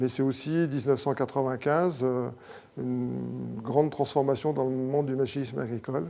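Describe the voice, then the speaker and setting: Fairly even intonation at a moderate pace. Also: man, medium pitch for a man. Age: 60s. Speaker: company president. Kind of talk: interview. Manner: hesitant, many fillers.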